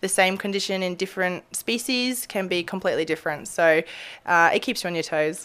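A woman speaks in an Australian accent. Her pace is fairly quick. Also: medium pitch for a woman, ordinary pitch variation. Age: 30s. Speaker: veterinarian. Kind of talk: casual interview. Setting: animal hospital treatment area.

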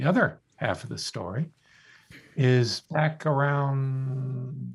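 A man speaks in a somewhat breathy voice. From US South, South Florida. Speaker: philosophy professor and author. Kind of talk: radio interview. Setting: studio.

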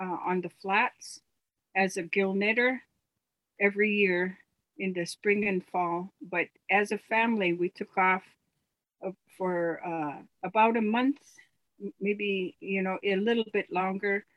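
The speech moves at a fairly slow pace with ordinary pitch variation. Long pauses come often. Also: woman. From US Pacific Northwest. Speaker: elder artist. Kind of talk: interview. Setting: remote call from home. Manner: halting, many fillers.

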